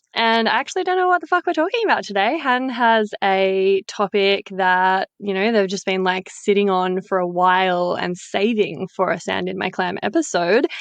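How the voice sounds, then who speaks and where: An Australian accent with hardly any pauses, in a dry, close sound with no echo and a quiet background. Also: woman, medium pitch for a woman, ordinary pitch variation, moderate pace. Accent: broad, casual Australian. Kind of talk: casual, informal.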